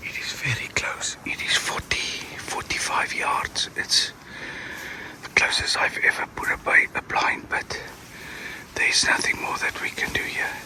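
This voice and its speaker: Fairly slow whispering comes through noticeable background noise. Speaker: professional hunter. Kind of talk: field commentary. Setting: outdoors, grass blind.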